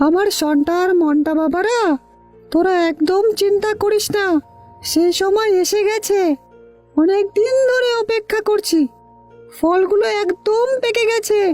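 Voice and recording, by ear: Over faint background music, a female-sounding voice does a cartoonish character voice at an extremely high pitch and a fairly slow pace.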